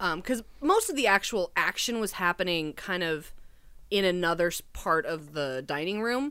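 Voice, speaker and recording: A woman speaks at a moderate pace and medium pitch in a plain, everyday voice, recorded very cleanly against a silent background. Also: lively intonation. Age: 30s. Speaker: film extra and costume designer. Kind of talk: casual chat.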